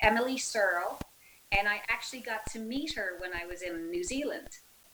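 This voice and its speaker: A woman with an American accent talks at a moderate pace in a fairly high pitch with lively intonation, amid audible room echo and noticeable background noise. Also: big swings in loudness. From Ireland, Galway. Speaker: physical therapist assistant and breast cancer survivor. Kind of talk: interview conversation.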